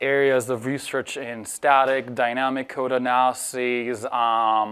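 The speaker goes at a fairly slow pace, with monotone, flat intonation. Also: man. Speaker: conference speaker. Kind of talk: conference talk. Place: hall.

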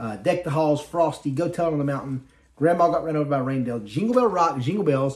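A man's fast, lively-intoned speech, fairly high in pitch and slightly mellow in tone.

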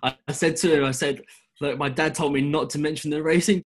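A man with an English accent talks at a very fast pace against a quiet background. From England. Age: 20s. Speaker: driving instructor. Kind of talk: interview. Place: home room. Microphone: webcam.

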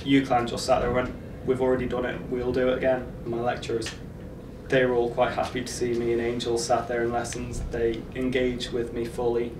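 A man talks at a fairly quick pace in a Manx accent, his intonation flat and monotone. Noticeable background noise runs under his voice. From Isle of Man. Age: 20s. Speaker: university student; guide dog owner. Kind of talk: documentary interview. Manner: hesitant with frequent fillers. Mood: warm, fond. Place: studio.

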